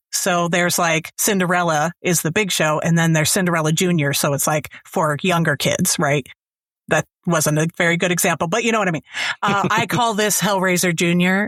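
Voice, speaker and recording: A woman's fairly quick, fairly low-pitched speech, with fairly even intonation, very even loudness, and a dry, close sound with no echo, an ordinary speaking voice. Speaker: audiobook narrator and author. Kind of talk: casual interview answer.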